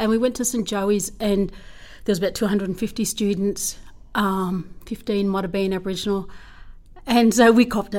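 This speaker has an Australian accent and a fairly quick pace. The intonation stays monotone and flat. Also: woman, medium pitch for a woman. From far western New South Wales, Australia (Menindee). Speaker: school principal. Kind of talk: interview.

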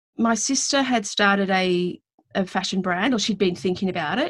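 A woman talks at a medium pitch. She speaks with an Australian accent. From Western Australia. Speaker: business consultant. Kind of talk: casual interview chat. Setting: video call from home.

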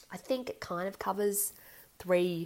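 This woman talks in an Australian accent. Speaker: podcast host. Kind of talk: casual solo podcast talk.

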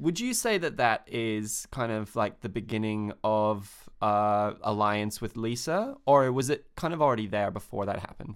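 An unremarkable speaking voice from a man, fairly low in pitch with ordinary variation, at a moderate pace with hardly any pauses, in a very clean recording with a silent background. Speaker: podcast host. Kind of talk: casual chat.

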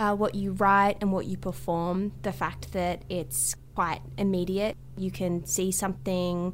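In an Australian accent, a woman talks at a moderate pace. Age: 20s. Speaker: comedian and writer. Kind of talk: interview.

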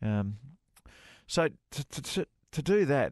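Over a quiet background, a man speaks with an Australian accent. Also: dry, close sound with no echo. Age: 40s. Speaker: golf radio co-host, former pro golfer. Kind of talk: casual chat.

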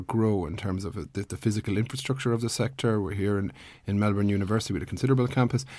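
Talking at a very fast pace with an Irish accent, a man has a dark, mellow tone, a fairly low pitch and ordinary pitch variation. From Ireland. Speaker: podcast host, PhD student. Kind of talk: interview. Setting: radio studio.

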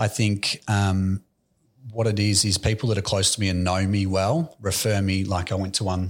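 The speaker has an Australian accent and a monotone, flat intonation at a moderate pace. The recording is very clean, with a silent background. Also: man. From Australia, Melbourne (Aspendale). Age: 20s. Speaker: real estate agency director. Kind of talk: interview.

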